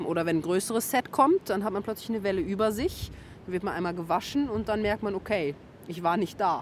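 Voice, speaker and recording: A woman talks in an unremarkable speaking voice of medium pitch. Her pitch variation is ordinary. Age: 30s. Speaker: coach and amateur surfer. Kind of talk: interview.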